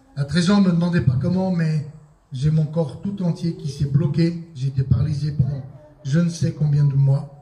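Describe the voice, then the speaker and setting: Fairly high-pitched man, fairly slow and fairly even in intonation, with audible room echo. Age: 60s. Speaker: apostle, preacher. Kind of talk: sermon.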